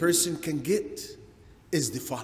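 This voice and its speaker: This man talks at a very slow pace. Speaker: religious lecturer. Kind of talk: lecture. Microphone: podium.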